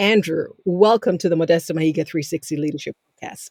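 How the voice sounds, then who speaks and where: A woman with an African accent speaks in a dark, mellow tone at a fairly quick pace with ordinary pitch variation. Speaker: podcast host. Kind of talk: interview introduction. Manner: formal.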